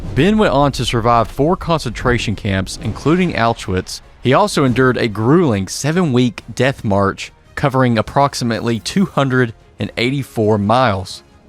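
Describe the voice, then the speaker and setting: Over music in the background, a man with a medium pitch speaks at a moderate pace, with lively intonation and very even loudness. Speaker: podcast host. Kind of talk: podcast intro narration.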